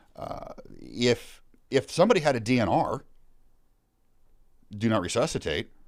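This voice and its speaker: Speaking at a moderate pace with lively intonation and vocal fry, this voice carries an American accent and leaves long, frequent pauses. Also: man, medium pitch for a man. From suburbs of Seattle, Washington. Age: 50s. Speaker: former firefighter. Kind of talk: casual interview conversation.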